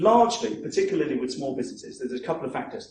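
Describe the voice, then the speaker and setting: In a New Zealand accent, a man speaks at a fairly quick pace with audible room echo. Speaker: marketing coach. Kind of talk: seminar talk. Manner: fast; animated.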